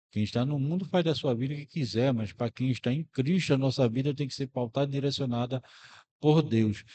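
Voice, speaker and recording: Moving at a moderate pace, a man speaks in a dark, mellow tone with ordinary pitch variation, the sound dry and close with no echo. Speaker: radio announcer. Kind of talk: religious commentary to listeners.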